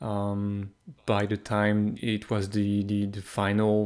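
A man's fairly low voice with a French accent, on a very clean recording against a silent background. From France. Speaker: hockey analytics podcaster. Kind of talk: casual chat.

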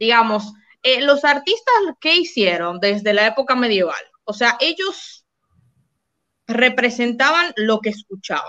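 Her voice high in pitch with a bright, sharp tone, a woman speaks at a fairly slow pace with lively intonation and long, frequent pauses. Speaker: podcast co-host. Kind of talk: casual livestream chat.

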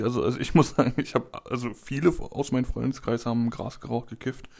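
A man talks at a fairly quick pace in a dark, mellow tone of medium pitch. The recording is very clean, with a silent background. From Berlin. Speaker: podcast co-host. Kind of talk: casual chat. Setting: home recording studio.

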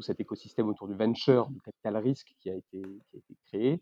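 An ordinary speaking voice moves at a moderate pace. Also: man. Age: 30s. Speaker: investment banker. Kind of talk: interview.

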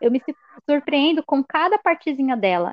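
Her voice is high-pitched, and this woman talks at a moderate pace with lively intonation. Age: 20s. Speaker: university student. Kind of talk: scripted educational podcast.

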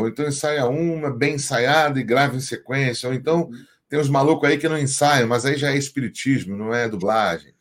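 This is an ordinary speaking voice from a man. His pitch is fairly high, with ordinary pitch variation. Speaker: voice actor. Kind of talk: casual chat.

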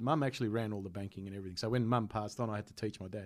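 A man with an Australian accent speaks very fast in a fairly low voice. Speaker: comedian. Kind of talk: casual chat.

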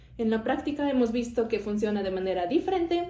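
Amid audible room echo, a woman talks at a fairly quick pace in a fairly high voice with lively intonation. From Mexico. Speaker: podcast host. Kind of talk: casual chat.

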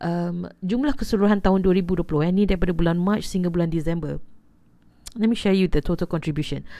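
This woman has a dark, mellow tone and a fairly low pitch, speaking fairly quickly with ordinary pitch variation. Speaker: podcast host. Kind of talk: casual podcast intro. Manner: hesitant, many fillers.

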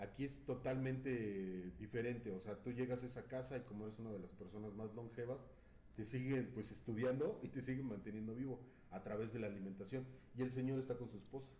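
With audible room echo, a man talks at a fairly quick pace and a medium pitch, keeping his intonation fairly even. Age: 40s. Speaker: podcast host. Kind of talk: casual chat.

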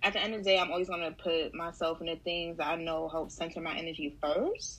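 The woman talks at a fairly quick pace. Her intonation is fairly even. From Harlem, New York City. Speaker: writer and beauty worker. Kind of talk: casual chat.

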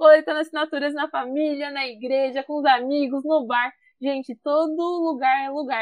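A woman's voice has a high pitch. She talks at a moderate pace. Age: 20s. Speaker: climate activist. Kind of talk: interview. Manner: animated.

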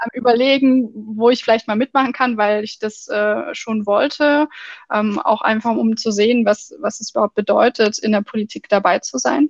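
A woman's somewhat breathy, fairly high voice at a moderate pace, fairly even in intonation, with a dry, close sound and no echo. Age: 20s. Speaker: party state chair and student. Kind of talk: interview. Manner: hesitant, many fillers.

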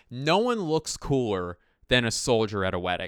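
A man with an American accent speaks at medium pitch and a fairly slow pace, in a normal speaking voice. The recording is very clean, with a silent background. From Philadelphia. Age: 30s. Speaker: comedian podcast host. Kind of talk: comedic solo monologue.

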